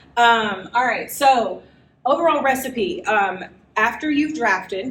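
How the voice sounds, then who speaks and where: Amid audible room echo, a woman speaks with ordinary pitch variation. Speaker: writing workshop presenter. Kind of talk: live workshop lecture. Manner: animated.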